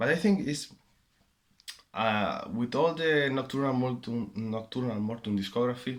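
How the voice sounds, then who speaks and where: Using medium pitch and ordinary pitch variation, a man speaks at a moderate pace. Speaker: vinyl collector making a contest video. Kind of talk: casual monologue answering questions. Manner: halting, with many fillers and repeats.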